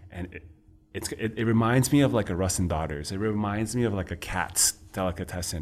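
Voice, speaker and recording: Speaking in a New York accent, a man of fairly low pitch keeps a moderate pace. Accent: New York American. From New York City, Chinatown. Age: young. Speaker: restaurant owner and entrepreneur. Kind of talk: casual interview chat. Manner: animated.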